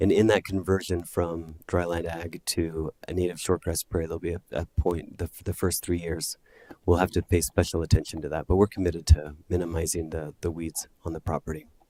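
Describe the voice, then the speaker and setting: A soft-spoken man with a dark, mellow tone, in a dry, close sound with no echo, on a very clean recording with a silent background. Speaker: solar project applicant. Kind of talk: public hearing testimony. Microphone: too quiet, far from mic.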